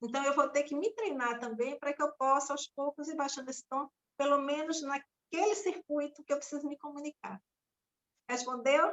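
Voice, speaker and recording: A woman speaks loudly at a moderate pace. Her voice is high, with ordinary pitch variation. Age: young. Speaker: former teacher. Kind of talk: casual chat.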